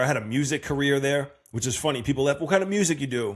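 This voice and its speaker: A man at a medium pitch with a Long Island accent, at a very fast pace. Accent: Long Island New York. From Long Island, New York (Massapequa Park). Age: 30s. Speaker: podcast host. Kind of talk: casual monologue. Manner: animated.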